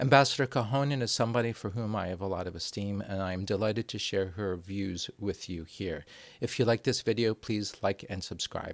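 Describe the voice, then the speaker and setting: An ordinary speaking voice, this man is fairly low-pitched with ordinary pitch variation, moving at a fairly quick pace with hardly any pauses. The recording is very clean, with a silent background. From New Jersey, USA (born there). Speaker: YouTube host, foreign affairs commentator. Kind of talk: interview.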